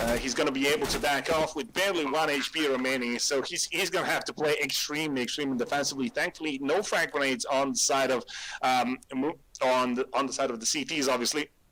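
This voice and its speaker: In a non-native accent, a man talks at a very fast pace with a fairly high pitch and ordinary pitch variation. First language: not English. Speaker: esports commentator. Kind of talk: live commentary. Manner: hesitant, many fillers and repeats.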